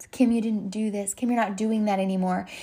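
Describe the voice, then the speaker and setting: This woman sounds animated, with a fairly high voice. Her delivery is somewhat breathy. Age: 30s. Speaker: podcast host and health and fitness coach. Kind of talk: casual solo podcast monologue. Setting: recording at home during a thunderstorm. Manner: animated, halting with many fillers and restarts.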